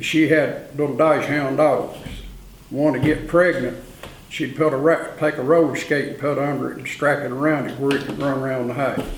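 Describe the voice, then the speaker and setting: Amid noticeable background noise and audible room echo, a man with an Appalachian accent speaks at a moderate pace in a fairly high, flat, monotone voice. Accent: Appalachian Southern US. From Saluda, western North Carolina. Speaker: oral history interviewee. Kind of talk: oral history interview. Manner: casual storytelling.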